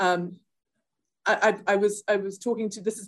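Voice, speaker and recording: Speaking with a South African accent, a woman holds a medium pitch and fairly even intonation at a fairly quick pace. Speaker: software product manager. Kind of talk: interview. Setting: office.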